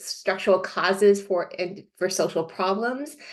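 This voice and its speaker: This woman talks at a medium pitch. Her intonation stays fairly even. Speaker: sociologist, invited expert speaker. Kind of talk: online presentation. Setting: video call from home. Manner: fast; hesitant, many fillers.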